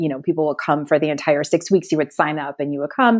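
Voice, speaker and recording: An American accent in a very clean recording with a silent background. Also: woman. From Connecticut, US. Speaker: psychotherapist. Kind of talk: interview.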